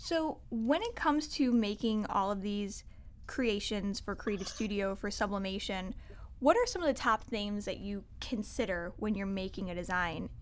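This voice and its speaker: A woman speaks at a medium pitch in a plain, everyday voice. Her pace is moderate. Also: ordinary pitch variation. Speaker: podcast host. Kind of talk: casual interview.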